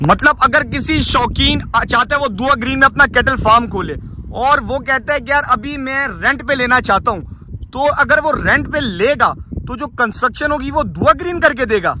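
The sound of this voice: A man at an extremely high pitch speaks in a bright, sharp tone with lively intonation. He keeps a moderate pace with few pauses over faint background noise.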